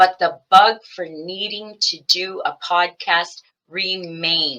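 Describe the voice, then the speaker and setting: With a bright, sharp tone, a woman talks. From Canada, Windsor, Ontario. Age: 60s. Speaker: podcast host. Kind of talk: casual monologue. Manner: chatty.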